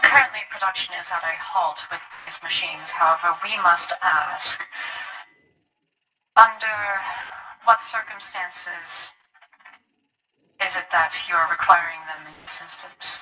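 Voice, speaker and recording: Using a robotic, put-on character voice, a woman speaks at a moderate pace and medium pitch, with big swings in loudness and long, frequent pauses. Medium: actual play.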